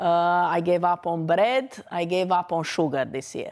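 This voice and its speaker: In a very clean recording with a silent background, a woman with a Romanian accent speaks fairly slowly at a fairly low pitch. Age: 40s. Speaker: dentist. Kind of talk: lecture.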